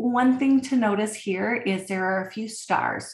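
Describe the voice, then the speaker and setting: A woman speaks with lively intonation in a somewhat breathy voice. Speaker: college instructor. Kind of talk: recorded lecture. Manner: casual, filler words.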